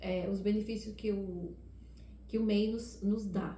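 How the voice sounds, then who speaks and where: This woman's voice sits fairly high in pitch, with audible room echo around it. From Brazil, interior of Paraná. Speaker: small business owner vlogger. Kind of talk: casual vlog monologue. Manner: halting, many fillers.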